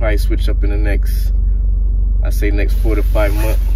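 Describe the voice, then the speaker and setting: There is noticeable background noise, though the sound is dry with no echo. At a moderate pace, a man is speaking. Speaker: vlogger. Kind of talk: casual vlog chat. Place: car. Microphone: phone near.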